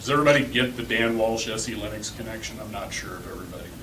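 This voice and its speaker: A man at a medium pitch speaks with fairly even intonation, with audible room echo and noticeable background noise. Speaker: conference speaker, open source community manager. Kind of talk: tech talk to a user group. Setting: stage with live audience. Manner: fast; casual, with filler words.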